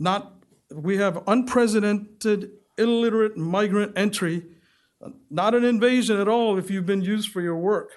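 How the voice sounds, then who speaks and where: A man with a high pitch speaks at a moderate pace in a fairly even intonation. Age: 50s. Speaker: public commenter at council meeting. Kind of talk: public comment speech.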